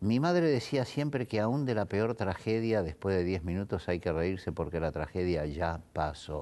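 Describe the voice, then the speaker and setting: A man's very deep, low voice with a dark, mellow tone, at a moderate pace with hardly any pauses. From Italy, raised in Argentina from age five. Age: 60s. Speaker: theatre producer; interviewee. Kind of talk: interview. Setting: his theatre. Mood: relaxed, storytelling. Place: hall.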